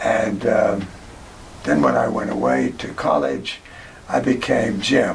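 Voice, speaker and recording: Noticeable background noise and audible room echo surround a man speaking with an American accent. His pace is very slow, with long, frequent pauses. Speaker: oral history interviewee. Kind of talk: oral history interview. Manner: halting.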